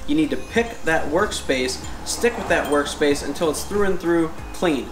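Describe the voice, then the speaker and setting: Clear music plays behind a man speaking at a moderate pace, with audible room echo. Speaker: DIY host. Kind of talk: tutorial. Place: garage. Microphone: camera far.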